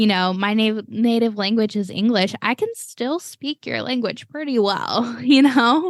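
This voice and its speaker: Against a quiet background, a woman with an American accent speaks at a fairly slow pace with hardly any pauses, at fairly high pitch and with ordinary pitch variation. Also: dry, close sound with no echo. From Cleveland, Texas and Florida, US. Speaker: podcast host. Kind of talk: casual chat.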